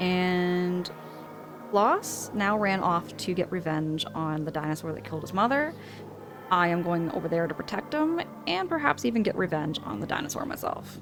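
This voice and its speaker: A woman's fairly low voice with lively intonation at a moderate pace, over noticeable background noise. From Canada, Ontario. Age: 30s. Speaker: streamer. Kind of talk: live game-stream chat. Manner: animated.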